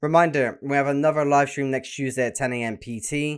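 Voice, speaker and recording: A man talks at a fairly quick pace with a British accent and ordinary pitch variation. The recording is very clean, with a silent background. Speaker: gaming YouTuber. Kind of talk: reaction video reading news aloud. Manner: stuttering, hurried.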